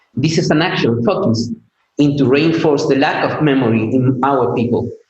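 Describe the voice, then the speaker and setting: A man's somewhat breathy, medium-pitched voice with a non-native accent, ordinary pitch variation and a moderate pace, in audible room echo. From Chile. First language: Spanish. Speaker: PhD student. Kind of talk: conference talk. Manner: halting, with fillers.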